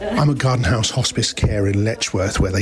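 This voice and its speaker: There is noticeable background noise as a man whispers. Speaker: radio reporter. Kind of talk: radio report. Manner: whispering.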